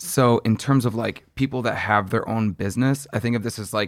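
A man talks at a moderate pace in a medium pitch, with ordinary pitch variation and an ordinary speaking voice. The recording is very clean, with a silent background. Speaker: fitness instructor. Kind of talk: interview.

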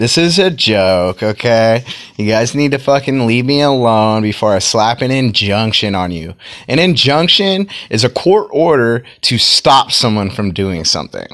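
At a fairly slow pace, a man of medium pitch speaks in an animated tone with lively intonation. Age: 30s. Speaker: vlogger / filmmaker. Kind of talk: casual monologue.

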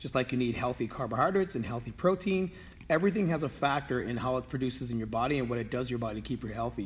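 This is a man speaking. His voice has vocal fry. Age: 50s. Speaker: fitness trainer. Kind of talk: fitness tips video. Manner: halting, many fillers.

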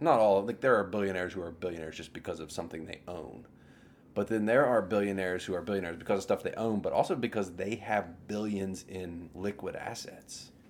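Fairly quick speech from a man with a fairly low pitch, an ordinary speaking voice and big swings in loudness. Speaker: podcast co-host. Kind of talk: casual chat. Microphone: audio issues.

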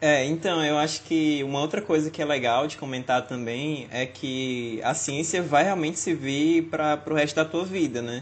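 A man speaks in an unremarkable speaking voice with fairly high pitch and fairly even intonation. He uses hardly any pauses. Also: moderate pace. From Fortaleza, Brazil. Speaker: podcast co-host, biomedical student. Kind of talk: casual chat.

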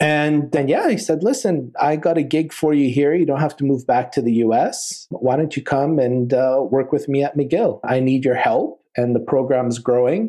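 With a western Canadian accent and a dark, mellow tone, a man talks at a moderate pace with hardly any pauses, fairly high pitch and ordinary pitch variation, over a quiet background. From Calgary, Alberta, Canada. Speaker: oral surgeon and professor. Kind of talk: interview.

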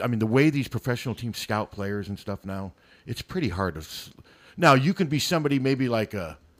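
A man with an American accent speaks at a fairly quick pace with very wide pitch swings, on a very clean recording with a silent background and a dry, close sound with no echo. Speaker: local sports radio guest. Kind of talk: casual chat. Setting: studio.

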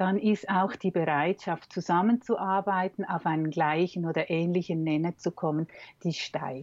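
A woman at a fairly low pitch and a fairly slow pace. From Switzerland. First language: Swiss German (speaking German). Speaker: communication trainer and coach. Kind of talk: interview conversation. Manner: hesitant, many fillers.

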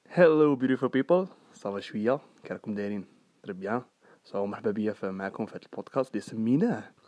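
Man with a fairly low, dark, mellow voice, lively intonation and a fairly quick pace. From Algeria, Sidi Bel Abbès. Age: 20s. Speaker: student and podcast host. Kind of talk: casual monologue. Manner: talkative.

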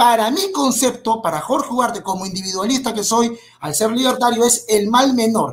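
Speaking at a moderate pace, a man uses an extremely high pitch and lively intonation. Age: 30s. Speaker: history researcher and YouTuber. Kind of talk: debate.

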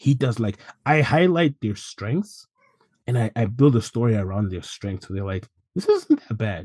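Against a quiet background, a man with a medium pitch and a dark, mellow, somewhat breathy tone speaks at a moderate pace with lively intonation and long, frequent pauses, in a dry, close sound with no echo. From Zimbabwe. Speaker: assistant gym manager. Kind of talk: interview.

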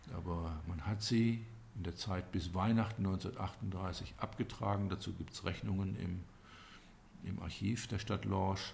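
With fairly even intonation, this voice comes across somewhat breathy. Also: man, very deep, low pitch for a man. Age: 60s. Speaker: local historian and business owner. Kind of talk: interview. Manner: hesitant, many fillers.

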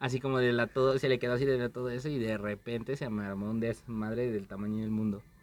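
The delivery moves at a fairly quick pace. It is an ordinary speaking voice. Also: man. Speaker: podcast host. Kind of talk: casual chat.

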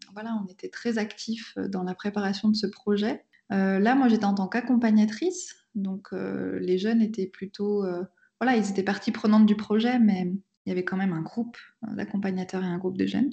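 Somewhat breathy, a woman speaks at a medium pitch and a moderate pace. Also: fairly even intonation. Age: 30s. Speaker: pastor. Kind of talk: testimony. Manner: hesitant, with frequent fillers.

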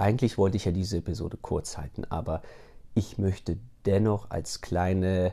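A man with a very deep, low pitch speaks at a moderate pace, somewhat breathy and with fairly even intonation, on a very clean recording with a silent background. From Germany. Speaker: podcast host. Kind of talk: solo podcast monologue. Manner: hesitant, with many fillers.

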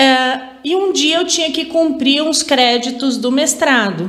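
A woman talks at a very slow pace, and room echo is audible. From Araraquara, São Paulo state, Brazil. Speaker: university department head and professor. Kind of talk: interview.

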